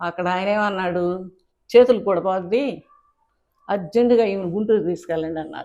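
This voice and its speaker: Her tone is dark and mellow, with a medium pitch and ordinary pitch variation. This woman's voice shows big swings in loudness. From Andhra Pradesh, Guntur district. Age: 60s. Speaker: writer and cartoonist. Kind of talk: interview, life story.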